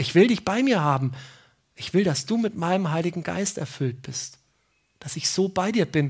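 A woman speaks at a moderate pace in a somewhat breathy, warm tone with fairly low pitch and lively intonation. She leaves long, frequent pauses, and the background is quiet. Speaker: preacher. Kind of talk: sermon in church, explaining a Bible passage. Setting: church. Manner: warm, conversational, earnest; emphatic, repeating key phrases. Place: open country.

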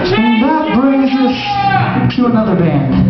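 Loud music plays in the background, and the room echo is audible. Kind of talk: live show emcee banter. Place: stage. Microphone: pa.

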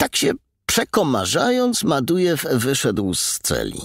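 With a dry, close sound and no echo, a man talks fairly slowly. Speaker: audiobook narrator. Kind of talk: audiobook reading, dramatic narration of a crime novel. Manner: dramatic, tense, suspenseful narration.

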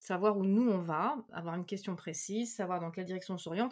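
On a very clean recording with a silent background, a woman in a normal speaking voice talks at a fairly quick pace, medium in pitch with ordinary pitch variation. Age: 40s. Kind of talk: casual chat.

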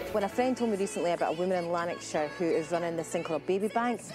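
A woman with a Scottish accent speaks at a very fast pace in a confident tone. Her pitch is fairly low, and music plays in the background. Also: ordinary pitch variation. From Scotland. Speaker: TV presenter. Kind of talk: TV feature narration and interview. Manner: natural, confident.

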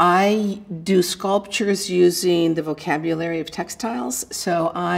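A woman speaks with a fairly low pitch and fairly even intonation. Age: 60s. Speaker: retired psychologist and textile artist. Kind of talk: reflective first-person life story, an older woman musing warmly on aging and her art. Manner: musing and searching, with many 'I mean', 'you know' and 'um' fillers and restarts; good-humored, breaks into light self-deprecating laughter. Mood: calm, reflective. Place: studio.

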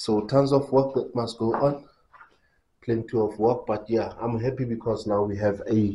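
A man speaks in a fairly low voice with a dark, mellow, somewhat breathy tone. His pitch varies in an ordinary way. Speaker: home builder vlogger. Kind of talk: casual vlog chat. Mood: upbeat, pleased. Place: empty room. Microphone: phone near.

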